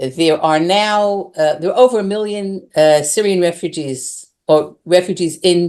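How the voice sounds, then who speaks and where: In an American accent, a woman talks at a fairly low pitch over a quiet background. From United States. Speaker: settler community resident. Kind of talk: online interview. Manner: halting, many fillers.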